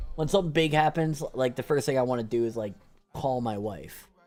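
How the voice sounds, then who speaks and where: In an ordinary speaking voice, a man goes along at a fairly quick pace. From Canada. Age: 20s. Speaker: video game streamer. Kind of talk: casual chat.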